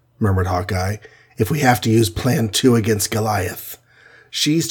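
Pitch variation here is ordinary. The delivery is an unforced reading voice.

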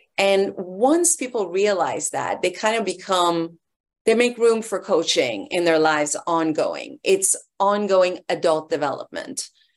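A woman talks at a fairly slow pace in a plain, everyday voice. Her medium pitch shows ordinary pitch variation. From Iran, raised in US from age 11. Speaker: life and leadership coach. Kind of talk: interview conversation.

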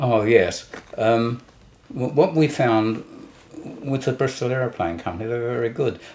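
A man with a medium pitch and ordinary pitch variation talks at a moderate pace with long, frequent pauses. Noticeable background noise runs underneath. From London, England. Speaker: war veteran. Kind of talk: interview. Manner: halting.

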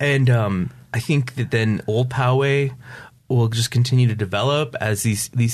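A man with an American accent, medium pitch, ordinary pitch variation and an unremarkable speaking voice. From upstate New York. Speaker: recovery coach. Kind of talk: interview.

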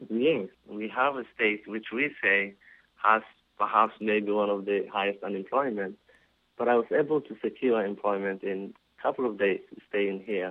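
The speaker is a man with a fairly low pitch. He talks at a moderate pace with fairly even intonation. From Somalia. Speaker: business owner and community volunteer. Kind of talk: interview.

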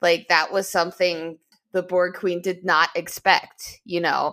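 Speaking at a fairly slow pace, a woman with a fairly low pitch has a bright, sharp, animated tone on a very clean recording with a silent background. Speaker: podcast co-host. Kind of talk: casual chat. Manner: animated, excitable.

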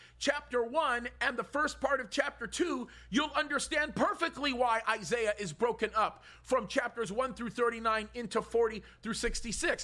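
This man's voice is extremely high-pitched, raised and projected, with a bright, sharp tone, moving at a fairly slow pace with hardly any pauses. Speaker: pastor. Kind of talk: sermon. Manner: loud, animated.

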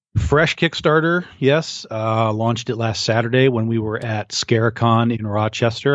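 This man has an unremarkable speaking voice, a medium pitch and a moderate pace. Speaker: podcast co-host. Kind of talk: casual chat.

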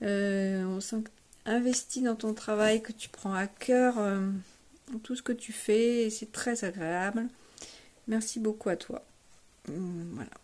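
A woman speaks at a very slow pace with long, frequent pauses. Her intonation stays fairly even. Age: 60s. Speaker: amateur bass player, workshop participant. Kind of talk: testimonial. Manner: hesitant with many fillers.

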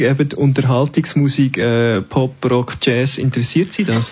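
Somewhat breathy delivery at a moderate pace. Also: man. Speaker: radio host. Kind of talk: interview. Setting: live event in a library.

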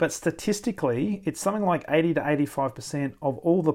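A man with an Australian accent at a fairly quick pace, ordinary pitch variation, and a very clean recording with a silent background. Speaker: podcast host, sales leadership coach. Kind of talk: solo reflective monologue. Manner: natural, conversational.

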